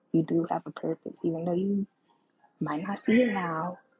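A soft-spoken woman with a fairly low pitch talks at a moderate pace with fairly even intonation, the sound dry and close with no echo. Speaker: podcast host. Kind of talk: casual monologue. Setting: home recording with background music.

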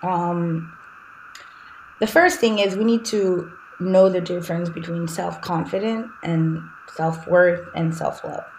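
A woman with a Haitian accent, fairly low in pitch, at a very slow pace with long, frequent pauses and fairly even intonation. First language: Haitian Creole. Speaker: life coach. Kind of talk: interview conversation.

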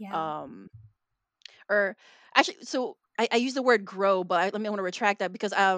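A woman's fairly high, lively voice in a Chicago accent, fairly quick, with a dry, close sound and no echo. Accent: Chicago American English. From Chicago, US Midwest. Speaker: mystery novelist. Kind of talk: casual interview. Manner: frequent fillers (um, like).

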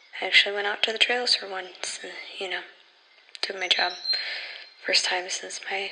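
Whispering in a nervous, anxious tone, a woman leaves long, frequent pauses while noticeable background noise sounds behind her. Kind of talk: horror fiction narration, in-character audio log monologue. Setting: solo audio log recording. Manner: quieter and shakier when recalling dead dog, then sarcastic and defensive.

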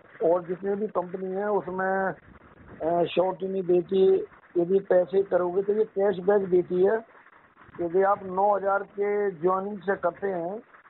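Noticeable background noise runs behind the speaker. He is a man with a high-pitched voice and monotone, flat intonation. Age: 60s. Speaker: retired transport worker doing multi-level marketing. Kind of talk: casual phone conversation. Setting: phone call.

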